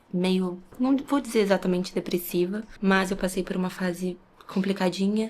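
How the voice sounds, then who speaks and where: A woman of medium pitch speaks at a moderate pace. Noticeable background noise runs underneath. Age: 20s. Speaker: ASMR content creator. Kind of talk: casual vlog talk to camera.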